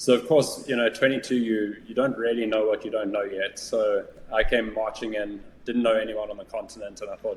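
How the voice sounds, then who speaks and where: Speaking at a fairly quick pace, a man talks in a South African accent. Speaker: business valuation executive. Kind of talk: interview conversation. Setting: podcast.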